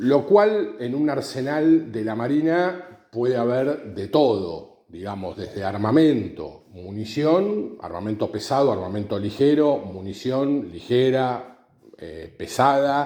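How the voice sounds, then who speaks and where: A man's very slow speech with hardly any pauses, very wide pitch swings and big swings in loudness. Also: medium pitch for a man. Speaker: podcaster. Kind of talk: explanatory monologue. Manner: halting, many fillers.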